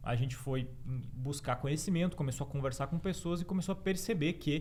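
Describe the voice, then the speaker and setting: This man speaks with ordinary pitch variation. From Rio Grande do Sul, southern Brazil. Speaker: branding consultant, author. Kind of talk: podcast interview.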